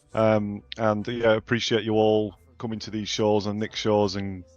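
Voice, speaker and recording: Against a quiet background, a man with a northern English accent speaks at a moderate pace with a fairly low pitch and monotone, flat intonation. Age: 40s. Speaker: game co-founder. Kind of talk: interview. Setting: live stream. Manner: hesitant, many fillers.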